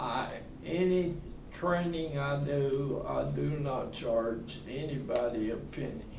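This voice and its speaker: In a Southern US accent, a man talks at a very slow pace with a fairly high pitch. Audible room echo surrounds his voice. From US South, Tennessee. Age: 80s+. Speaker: retirement community resident. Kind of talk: casual interview.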